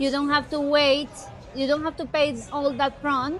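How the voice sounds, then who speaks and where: A woman with a Spanish accent and a high pitch at a moderate pace, with music in the background and audible room echo. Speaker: real estate agent. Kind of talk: casual interview. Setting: shopping mall.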